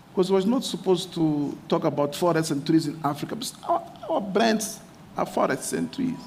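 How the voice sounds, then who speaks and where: Delivery moves at a moderate pace with ordinary pitch variation. Noticeable background noise sits behind the voice. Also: man, high pitch for a man. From Mozambique. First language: Portuguese. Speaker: mayor. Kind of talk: conference speech. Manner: halting.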